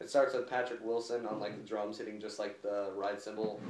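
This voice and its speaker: The man talks at a moderate pace with a fairly low pitch. Background noise is noticeable, and the room echo is audible. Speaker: music reviewer. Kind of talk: casual album review chat. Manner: halting, many fillers.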